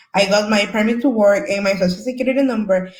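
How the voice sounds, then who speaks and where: The speaker has a Salvadoran accent. The pace is fairly quick. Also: woman. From El Salvador. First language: Spanish. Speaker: community service worker, former asylee. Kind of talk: panel discussion.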